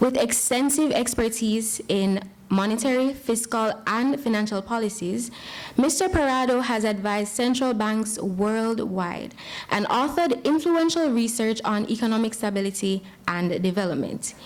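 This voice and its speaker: At a moderate pace, a woman speaks in a passionate tone at a fairly high pitch, with ordinary pitch variation and very even loudness. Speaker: event host introducing keynote speaker. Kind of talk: formal introduction.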